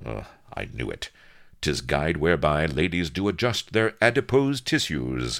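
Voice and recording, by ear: A man uses a put-on character voice with vocal fry, an extremely low pitch and big pitch swings at a fairly slow pace. The recording is very clean, with a silent background. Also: fairly bright tone.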